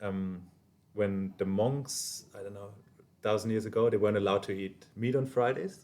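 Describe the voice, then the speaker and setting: In a German accent, the speaker has a dark, mellow tone, fairly even intonation and big swings in loudness. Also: man, fairly low pitch for a man, moderate pace. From southern Germany, small rural town. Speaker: bartender and business owner. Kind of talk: casual chat. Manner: halting.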